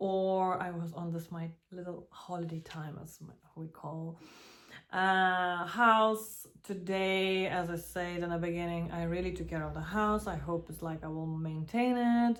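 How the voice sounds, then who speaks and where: A woman with a non-native accent speaks at a fairly low pitch with fairly even intonation. Her loudness swings widely. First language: not English. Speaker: vlogger and small café owner. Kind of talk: casual vlog monologue. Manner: hesitant, with fillers.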